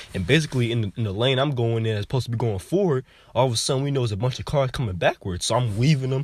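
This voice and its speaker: The speaker talks at a very fast pace with ordinary pitch variation. The voice is somewhat breathy. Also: man. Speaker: religious teacher sharing visions. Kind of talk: informal testimony of a vision. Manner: casual, halting with fillers.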